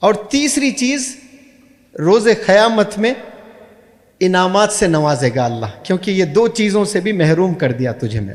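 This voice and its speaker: High pitch from a man, with very wide pitch swings. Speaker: motivational speaker and English teacher. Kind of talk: Islamic motivational speech to an audience.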